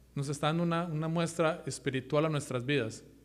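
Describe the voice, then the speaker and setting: A man's voice rings with audible room echo. It sits at a fairly high pitch. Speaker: lay preacher. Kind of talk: sermon. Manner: fast; halting.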